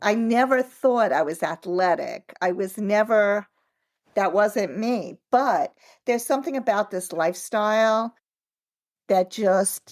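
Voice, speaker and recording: Dry and close with no echo, the recording captures a woman with a normal speaking voice. Her pitch is fairly high and her intonation lively. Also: fairly slow pace. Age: 60s. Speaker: author and triathlete. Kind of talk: interview. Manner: conversational, many fillers.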